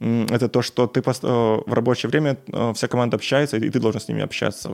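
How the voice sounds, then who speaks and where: At a fairly quick pace, a man speaks in an unremarkable speaking voice of medium pitch with fairly even intonation. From Belarus. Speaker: software engineer. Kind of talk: casual chat. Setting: at home.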